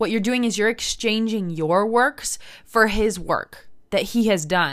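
A woman with an American accent at a moderate pace, medium pitch and ordinary pitch variation, an unremarkable speaking voice. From United States. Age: 20s. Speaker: podcast host, missionary. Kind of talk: faith-based podcast monologue.

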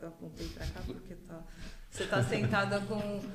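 There is audible room echo and noticeable background noise as a woman speaks at a moderate pace. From Brazil, São Paulo area. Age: 40s. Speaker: hairdresser. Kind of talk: casual chat.

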